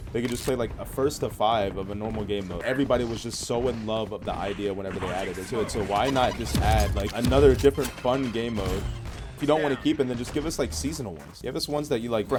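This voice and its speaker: Speaking in an American accent at a very fast pace with hardly any pauses, a man with a medium pitch uses lively intonation, with music in the background and audible room echo. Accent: American, noticed by other players. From United States. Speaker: gaming streamer. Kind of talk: gameplay commentary. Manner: casual, many fillers.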